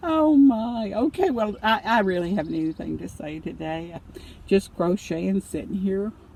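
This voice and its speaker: Lively intonation marks this speaker's Southern US accent. The pace is fairly slow. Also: woman. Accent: US South. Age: 70s. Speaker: vlogger. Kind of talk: casual chat. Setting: in a car. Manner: halting.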